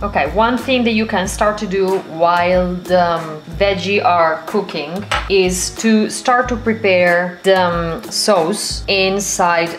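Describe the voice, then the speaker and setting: Light background noise accompanies a woman talking at a very slow pace with ordinary pitch variation. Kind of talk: cooking tutorial. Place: kitchen. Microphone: camera far.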